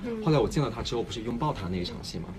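Very wide pitch swings against noticeable background noise. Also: man. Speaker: actor. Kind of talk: casual livestream talk. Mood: amused, reflective. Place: studio. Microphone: phone near.

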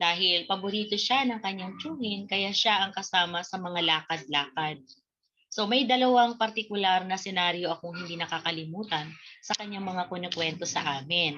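A woman talks in a normal speaking voice at a medium pitch. Her pace is moderate, with ordinary pitch variation. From Bicol, Philippines (Daet, Camarines Norte); Bicol, Philippines. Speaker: Filipino literature teacher. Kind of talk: online lesson. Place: home room. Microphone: webcam.

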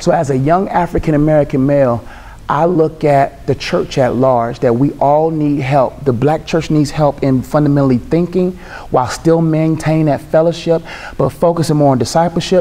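Intonation stays fairly even as a man talks. His pace is moderate. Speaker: speaker. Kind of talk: panel discussion answer. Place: hall.

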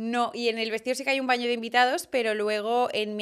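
An ordinary speaking voice moves at a fairly quick pace with fairly even intonation. The background is quiet. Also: woman. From Barcelona, Spain; Spain. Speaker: fashion content creator and stylist; fashion content creator. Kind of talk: casual interview chat. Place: studio. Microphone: studio mic.

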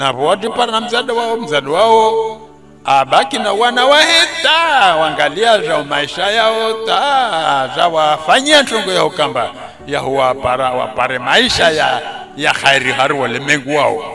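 Very wide pitch swings in a Comorian accent, at a fairly slow pace, with noticeable background noise. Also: man, high pitch for a man. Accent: Comorian (Shinzwani). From Comoros, Anjouan (Domoni). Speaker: storyteller. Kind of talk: oral storytelling.

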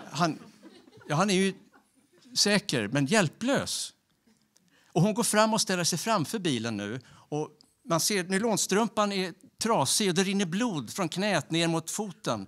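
Long, frequent pauses in a man's high-pitched voice, lively intonation, a fairly slow pace and a quiet background. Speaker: storyteller. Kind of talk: storytelling. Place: stage. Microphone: handheld.

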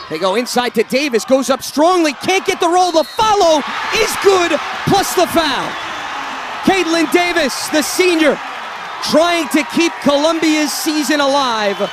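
Over noticeable background noise, a man speaks at an extremely high pitch, the sound dry with no echo. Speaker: basketball play-by-play commentator; play-by-play announcer. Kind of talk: sports commentary. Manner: fluent, crisp and descriptive, with a broadcast polish. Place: stadium. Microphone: headset.

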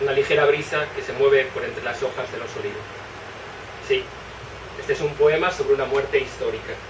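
Noticeable background noise sits under a man who speaks at a fairly quick pace. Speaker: poet. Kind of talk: poetry reading. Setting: live reading in bookshop. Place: shop. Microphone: camera far.

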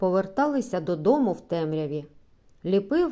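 The clip is simply plain reading aloud.

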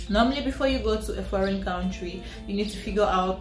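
The speech moves at a moderate pace, with audible room echo and clear music playing in the background. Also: woman. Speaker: student vlogger. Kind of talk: casual vlog chat. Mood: friendly and upbeat. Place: home room. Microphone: camera far.

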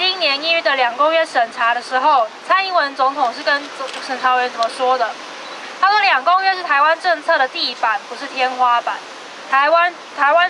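Over noticeable background noise, a woman with a Taiwanese accent uses a raised, projected voice at a high pitch, with ordinary pitch variation and a moderate pace. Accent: Taiwanese Mandarin. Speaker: human rights advocate. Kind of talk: protest speech. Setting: outdoors. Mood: critical, indignant. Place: street. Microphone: handheld.

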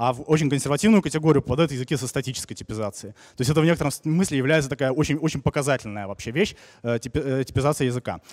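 Over a quiet background, a man with a fairly high pitch talks at a very fast pace with ordinary pitch variation. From Saint Petersburg, Russia. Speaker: software developer, conference speaker; conference speaker. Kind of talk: conference talk. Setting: conference hall with audience. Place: hall. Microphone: handheld.

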